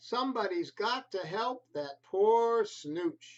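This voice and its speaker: A man puts on a character voice at an extremely high pitch, speaking at a very slow pace. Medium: read story.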